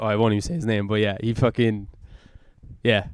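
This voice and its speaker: On a very clean recording with a silent background, a man with an Irish accent sounds dry and close with no echo. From Ireland. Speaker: comedian and podcast host. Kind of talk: casual chat. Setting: podcast recorded on camera. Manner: fast.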